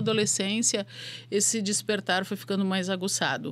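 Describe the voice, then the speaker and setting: A woman speaks in a somewhat breathy voice. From southern Brazil, Porto Alegre. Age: 50s. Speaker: spirituality mentor and business academic. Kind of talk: podcast interview.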